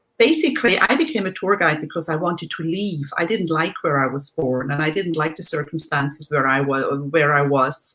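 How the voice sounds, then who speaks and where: A woman's very deep, low voice with ordinary pitch variation and hardly any pauses. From Switzerland. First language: German. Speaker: life coach and former tour guide. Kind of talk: interview.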